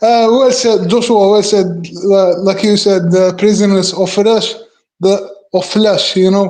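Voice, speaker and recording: In a room with audible echo, a man with a high pitch speaks fairly slowly in a monotone, flat way, his loudness very even. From Algeria. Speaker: guest in online chat. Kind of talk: casual chat. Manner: halting; many fillers, repeats words.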